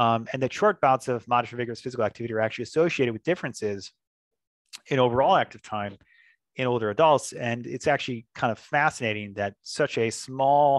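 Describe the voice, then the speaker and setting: A man talks very fast at a medium pitch with ordinary pitch variation, recorded with a dry, close sound, no echo, and a quiet background. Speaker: medical researcher. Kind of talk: lecture.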